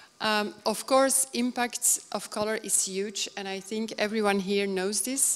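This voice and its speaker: Against noticeable background noise, a woman of medium pitch speaks at a very slow pace with fairly even intonation. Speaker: color consultant and speaker. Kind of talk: conference lecture. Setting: stage with audience. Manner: halting, with frequent fillers.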